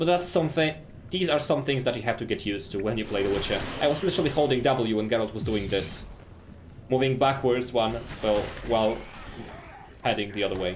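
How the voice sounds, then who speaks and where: A man speaks very fast at medium pitch with lively intonation, yet leaves long, frequent pauses. Room echo is audible. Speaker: video game speedrunner and streamer. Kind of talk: live gameplay commentary. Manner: animated.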